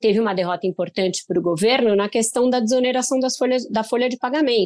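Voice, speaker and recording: In a normal speaking voice, a woman talks at a fairly quick pace with a fairly high pitch and lively intonation. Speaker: political journalist. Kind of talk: interview.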